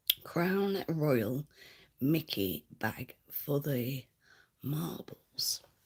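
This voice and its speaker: A woman with a Lancashire accent speaks at a very slow pace, her very deep, low pitch marked by vocal fry. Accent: northern English, Lancashire. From Lancashire, northern England. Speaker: livestreamer. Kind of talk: casual chat reading comments. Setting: at home, livestream. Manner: halting, many fillers.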